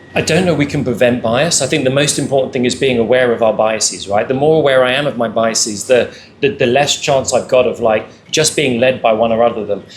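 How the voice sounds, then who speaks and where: Loudness stays very even and the pace is very fast. The intonation is fairly even, with a British accent. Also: man, medium pitch for a man. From England. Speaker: panelist. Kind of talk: panel discussion. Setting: live event with audience. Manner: repetitive stammering on words.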